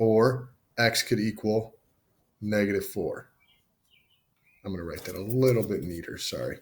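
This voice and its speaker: Somewhat breathy, fairly low male voice with ordinary pitch variation, long, frequent pauses and big swings in loudness. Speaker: math teacher. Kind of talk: tutorial. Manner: casual; fast.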